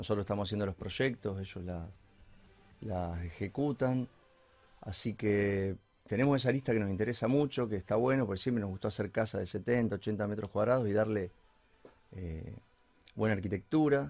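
Speaking at a moderate pace, a man with a fairly low pitch and ordinary pitch variation leaves long, frequent pauses. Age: 30s. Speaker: architect. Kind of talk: casual interview.

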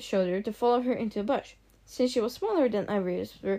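The speaker uses a natural reading voice. Pitch varies in an ordinary way.

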